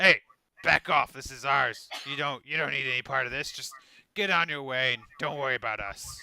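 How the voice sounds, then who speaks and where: Shouting in a put-on character voice, raspy and gruff, the speaker goes at a moderate pace with ordinary pitch variation, recorded dry and close with no echo. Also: man, medium pitch for a man. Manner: yelling, aggressive.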